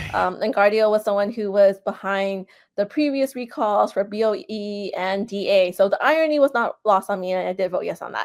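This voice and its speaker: With a normal speaking voice, a woman talks at a fairly quick pace and medium pitch, ordinary pitch variation and hardly any pauses, on a very clean recording with a silent background. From San Francisco, US West Coast. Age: 40s. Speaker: political candidate. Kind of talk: interview. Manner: casual, filler-heavy.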